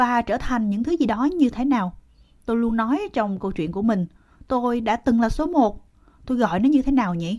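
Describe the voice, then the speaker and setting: At a moderate pace, a woman with a fairly high pitch speaks in an ordinary speaking voice with lively intonation. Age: 60s. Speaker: formerly homeless senior. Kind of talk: casual chat. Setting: outdoors.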